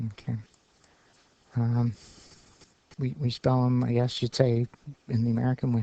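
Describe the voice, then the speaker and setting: A man's dark, mellow voice at medium pitch, moderate pace and fairly even intonation, with long, frequent pauses and a dry, close sound with no echo. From Canada, Ottawa Valley. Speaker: teacher. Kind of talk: lecture. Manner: halting, many fillers.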